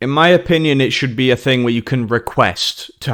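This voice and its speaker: A man with a British accent speaks at a moderate pace in a bright, sharp tone, on a very clean recording with a silent background. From Germany. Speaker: podcast host and interviewer. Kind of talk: casual chat. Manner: animated.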